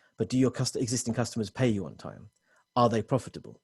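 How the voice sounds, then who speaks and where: Very fast, somewhat breathy speech with ordinary pitch variation over a quiet background. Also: man. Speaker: technology consultant presenting to business owners. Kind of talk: webinar presentation. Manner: many fillers and restarts.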